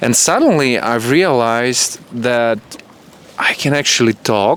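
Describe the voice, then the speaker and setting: Through noticeable background noise, a man talks at a fairly slow pace in a medium pitch with ordinary pitch variation. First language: Russian and Ukrainian. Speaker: hotel camera worker. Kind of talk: casual interview.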